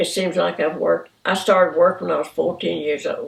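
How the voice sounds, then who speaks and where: Here a woman is talking at a moderate pace. She has a Southern US accent. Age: 80s+. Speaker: retiree. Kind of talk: oral history interview.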